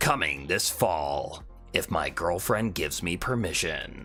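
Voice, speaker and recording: A man talks at a fairly slow pace in a put-on character voice. Clear music plays in the background. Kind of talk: announcer voiceover.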